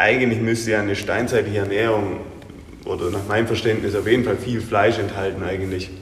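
Fairly quick, monotone, flat male speech at medium pitch, with audible room echo and noticeable background noise. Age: 30s. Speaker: gym owner and coach. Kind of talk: interview. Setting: gym.

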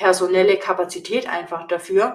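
A woman's plain, everyday voice at medium pitch, with fairly even intonation. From Bavaria, Augsburg. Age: 30s. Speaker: nutrition coach. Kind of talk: casual interview.

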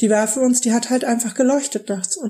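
Over a silent background in a very clean recording, a woman speaks at a fairly quick pace. Her fairly high voice is somewhat breathy, with a dark, mellow tone. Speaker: podcast co-host. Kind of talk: casual chat.

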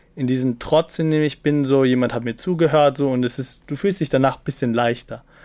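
Recorded very cleanly over a silent background, a man at medium pitch with a dark, mellow tone speaks fairly quickly, with fairly even intonation and hardly any pauses. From Austria, Salzburg small town. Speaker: TikToker and student. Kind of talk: podcast interview.

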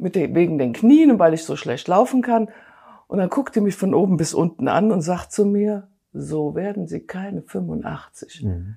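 Over a very clean, silent background, a woman speaks at a fairly slow pace with a dark, mellow tone, somewhat breathy, and lively intonation. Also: medium pitch for a woman. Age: 60s. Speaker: weight-loss program participant. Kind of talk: interview testimony.

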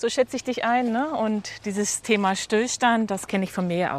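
Here is a woman with an unremarkable speaking voice. Her pitch sits fairly high and varies in an ordinary way. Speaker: podcast host, walking coach. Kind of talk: interview. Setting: outdoors, walking in a forest.

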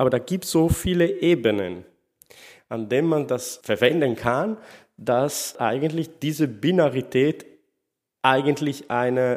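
A man speaks at medium pitch, captured on a very clean recording with a silent background. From Sardinia, Italy. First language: Italian / Sardinian (speaking German). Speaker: literary scholar. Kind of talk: interview. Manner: halting, non-native phrasing.

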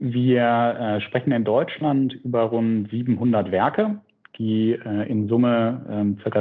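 A man's voice with fairly even intonation. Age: 30s. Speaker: startup CEO. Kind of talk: interview. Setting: remote call. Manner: frequent filler sounds.

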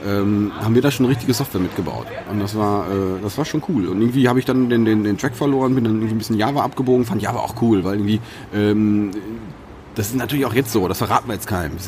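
A man's fairly low voice at a very fast pace, ordinary pitch variation, noticeable background noise. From Sauerland, Germany. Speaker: IT consultant and podcaster. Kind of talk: casual chat. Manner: halting, many repetitions and fillers.

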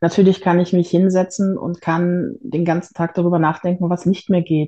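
With a fairly low pitch, a woman speaks in fairly even intonation. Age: 40s. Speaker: patient sharing experience with illness and depression. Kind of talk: interview testimony.

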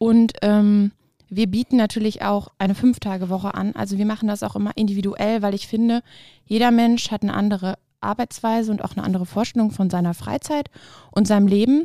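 Recorded very cleanly against a silent background, the voice has a dark, mellow tone, a fairly quick pace, fairly even intonation and a dry, close sound with no echo. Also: woman, medium pitch for a woman. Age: 30s. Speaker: tax advisor. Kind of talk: casual interview.

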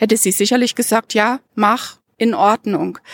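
A woman with a normal speaking voice and fairly high pitch talks at a fairly slow pace. The recording is very clean, with a silent background and a dry, close sound with no echo. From Dresden, eastern Germany. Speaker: university administrator and volunteer mentor. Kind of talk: group conversation. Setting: outdoors in a university courtyard.

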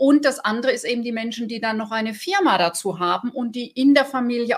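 This woman's voice is pitched high. She uses lively intonation. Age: 50s. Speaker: podcast host and business coach. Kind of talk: scripted narration; interview conversation.

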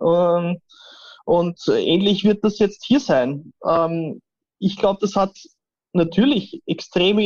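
A man speaks in a high pitch with a Viennese accent and fairly even intonation. The sound is dry and close with no echo. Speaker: AI and IT expert. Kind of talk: interview.

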